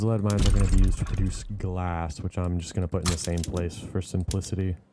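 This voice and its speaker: A man's very deep, low voice at a very fast pace, with noticeable background noise. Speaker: gaming video creator. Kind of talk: gameplay commentary. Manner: casual.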